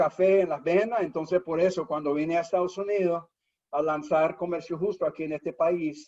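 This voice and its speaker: With a dark, mellow tone, a man speaks at a high pitch and with fairly even intonation. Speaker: nonprofit founder and CEO. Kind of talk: webinar interview. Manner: many hesitations and repeated words.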